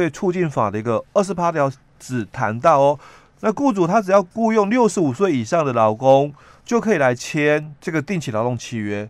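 Moderately paced speech from a man, pitch swinging very widely. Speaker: labor relations expert. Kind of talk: explanatory talk on labor law. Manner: many filler particles.

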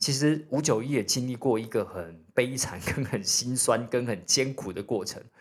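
This man has a normal speaking voice at a medium pitch, moving at a fairly slow pace. The recording is very clean, with a silent background. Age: 40s. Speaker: podcast host, real estate investor. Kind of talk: solo podcast talk. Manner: casual, many fillers.

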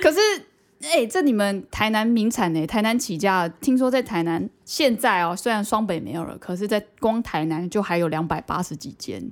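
A woman speaks in an ordinary speaking voice, medium in pitch, with lively intonation at a moderate pace. The recording is very clean, with a silent background. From Taiwan, Banqiao (New Taipei). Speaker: podcast co-host. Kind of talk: casual chat.

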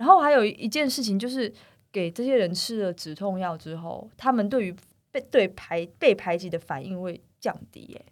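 In a normal speaking voice, a woman talks at a moderate pace with medium pitch and lively intonation. Her loudness swings widely, on a very clean recording with a silent background. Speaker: comic artist. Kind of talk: interview.

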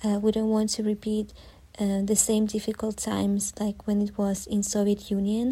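A woman's somewhat breathy, dark and mellow voice at medium pitch, with a Ukrainian accent, monotone flat intonation and very even loudness. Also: moderate pace. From southern Ukraine, Zaporizhzhia. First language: Ukrainian (speaking Chinese). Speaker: Ukrainian expat interviewee. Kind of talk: interview answers. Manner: halting with frequent fillers.

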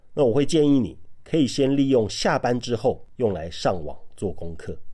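At a fairly slow pace, a man with a medium pitch and a dark, mellow tone swings his pitch very widely, with vocal fry. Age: 40s. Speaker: podcast host, author and former salesperson. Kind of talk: monologue giving career advice.

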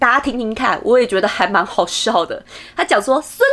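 A woman's pitch swings very widely as she talks at a moderate speed. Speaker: podcast host. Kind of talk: casual solo podcast talk.

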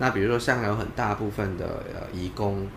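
At a moderate pace, a man talks in an ordinary speaking voice, fairly low in pitch with ordinary pitch variation. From Malaysia. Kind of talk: interview.

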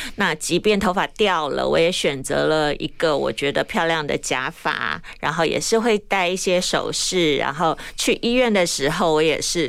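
A woman speaks at a fairly slow pace and a fairly low pitch, with vocal fry and ordinary pitch variation. She keeps very even loudness and takes hardly any pauses. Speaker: fashion influencer, breast cancer survivor. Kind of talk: interview.

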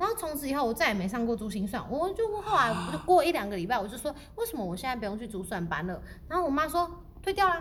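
With noticeable background noise behind her, a woman talks very fast in an animated tone, her high pitch making very wide swings. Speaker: podcast co-host. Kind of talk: casual chat.

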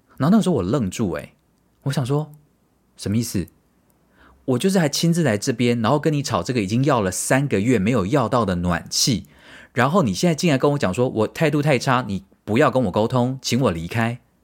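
Speaking at a fairly quick pace in a medium pitch, a man sounds animated, with lively intonation and big swings in loudness, on a very clean recording with a silent background. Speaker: podcast host. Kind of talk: casual monologue.

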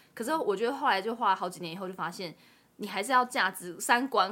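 With lively intonation and a fairly quick pace, a woman talks in a normal speaking voice. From Taiwan. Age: late 20s. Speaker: author and overseas job consultant. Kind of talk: interview.

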